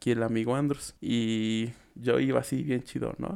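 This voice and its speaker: The speaker has a Mexican accent. The pace is fairly slow. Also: man. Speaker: podcast co-host. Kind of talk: casual chat.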